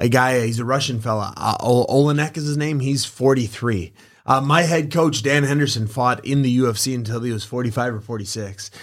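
A man with an American accent and a plain, everyday voice speaks fairly quickly at medium pitch on a very clean recording with a silent background. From Wisconsin, US. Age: 30s. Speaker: professional MMA fighter and boxing coach. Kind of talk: casual podcast interview. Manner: upbeat, positive, laughs often.

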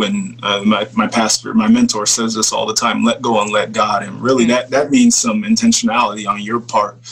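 Moderate pace and an American accent, with noticeable background noise. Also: man. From US Midwest (Papillion, Nebraska). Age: 30s. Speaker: former football player, entrepreneur. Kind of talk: casual interview.

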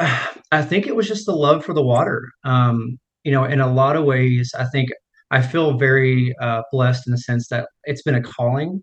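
Medium-pitched, somewhat breathy male voice with an American accent, ordinary pitch variation and a moderate pace. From United States, small town. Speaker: swim and strength coach. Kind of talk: interview.

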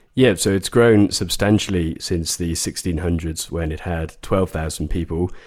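On a very clean recording with a silent background, the speech moves at a moderate pace with fairly even intonation and hardly any pauses. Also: man, very deep, low pitch for a man. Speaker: property investment expert. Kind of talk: casual chat.

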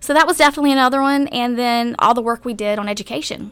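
A woman speaks very fast in a slight Southern US accent. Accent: slight Southern twang. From rural North Carolina, US South. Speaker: former city government chief of staff. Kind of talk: interview.

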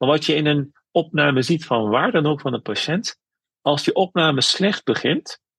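Recorded dry and close with no echo, a man with an ordinary speaking voice talks at a moderate pace, his fairly high pitch showing ordinary pitch variation. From Netherlands, North Brabant (Veghel), Turkish roots. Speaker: spiritual caregiver and imam. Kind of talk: interview.

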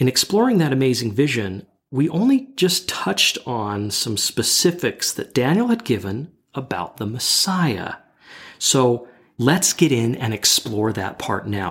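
With very wide swings in pitch, a man talks in a somewhat breathy voice. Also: medium pitch for a man, fairly slow pace. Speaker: bible study podcast co-host. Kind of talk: scripted narration.

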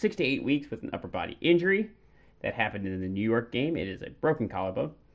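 A man talks at a very fast pace with a fairly high pitch and vocal fry. His pitch swings very widely. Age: 30s. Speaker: hockey podcast co-host. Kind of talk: casual chat.

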